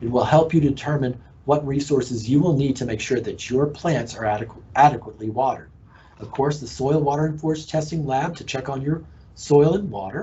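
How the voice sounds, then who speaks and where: A man with an American accent talks at a fairly quick pace and a fairly high pitch. His voice is somewhat breathy, with ordinary pitch variation. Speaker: horticulture extension agent. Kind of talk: educational presentation. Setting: live online broadcast.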